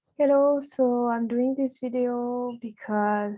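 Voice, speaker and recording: A woman's fairly high-pitched voice at a fairly slow pace, with a non-native accent. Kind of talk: personal experience talk to camera.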